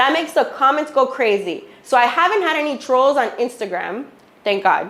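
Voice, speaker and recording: A woman speaks at a moderate pace in a high voice with a Miami accent. Her tone is animated, with very wide swings in pitch. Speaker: real estate agent and social media speaker. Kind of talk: workshop talk to loan officers. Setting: office with small audience.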